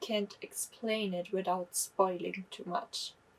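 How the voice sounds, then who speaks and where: The speaker is a woman with a German accent. She talks at a fairly slow pace. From Germany. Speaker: book vlogger. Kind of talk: casual book review monologue. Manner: halting, self-correcting.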